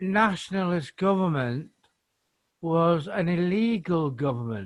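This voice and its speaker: A man with a fairly high pitch and ordinary pitch variation talks at a very slow pace. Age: 60s. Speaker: audience member, former teacher. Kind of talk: audience question. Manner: halting.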